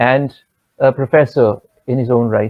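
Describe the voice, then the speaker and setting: A man talks at a medium pitch with a Bengali accent. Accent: Indian Bengali English. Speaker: vocalist and festival curator. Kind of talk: formal introduction of guests. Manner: hesitant, many fillers.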